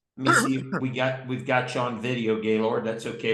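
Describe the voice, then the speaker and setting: At a fairly quick pace, a man talks in an unremarkable speaking voice. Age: 60s. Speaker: company president. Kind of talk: group call hosting. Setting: video call. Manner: upbeat.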